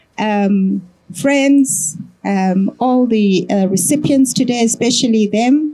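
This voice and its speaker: A woman speaks at a very slow pace in a fairly high, somewhat breathy voice with a dark, mellow tone. Her loudness stays very even while her pitch varies in an ordinary way. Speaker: executive director. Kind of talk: welcoming address. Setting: stage with audience, microphone.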